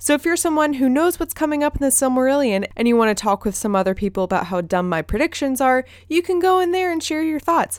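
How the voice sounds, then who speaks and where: On a very clean recording with a silent background and a dry, close sound with no echo, a woman with a slight Southern US accent speaks in an animated tone at a high pitch with very wide pitch swings. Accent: slight Southern US drawl. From US South. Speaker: podcast host. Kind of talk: casual chat. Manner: animated, laughs often.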